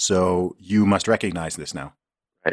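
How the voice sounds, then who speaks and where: A man speaks with an American accent. The sound is dry and close with no echo, in a very clean recording with a silent background. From England and Saudi Arabia. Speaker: rapper and podcaster. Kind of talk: casual interview.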